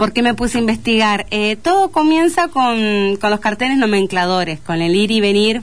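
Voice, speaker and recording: A woman with an Entre Ríos Argentine accent, fairly high pitch and lively intonation, at a moderate pace with very even loudness. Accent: Argentine Spanish (rioplatense, Entre Ríos). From Argentina, Paraná (Entre Ríos). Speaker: teacher and author. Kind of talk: radio interview. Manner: halting, frequent word repetitions.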